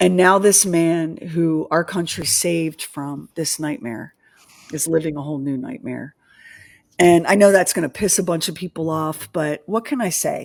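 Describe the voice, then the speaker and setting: A woman speaks in a Philadelphia accent at a moderate pace, with ordinary pitch variation. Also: fairly low pitch for a woman. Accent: Delaware Valley vowels. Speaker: podcast host. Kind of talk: livestream chat. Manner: animated.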